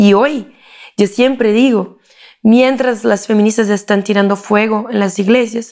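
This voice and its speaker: A woman speaks with a Portuguese accent at a medium pitch. Her intonation is fairly even. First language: Portuguese (speaking Spanish). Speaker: political consultant and speaker. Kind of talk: interview. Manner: halting.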